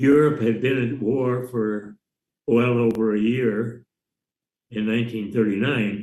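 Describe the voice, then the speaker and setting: A man with an American accent speaks in a medium pitch with a dark, mellow tone and monotone, flat intonation. His pace is fairly slow, with long, frequent pauses. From US Midwest, Michigan. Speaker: war veteran. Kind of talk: oral history interview. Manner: halting, many fillers.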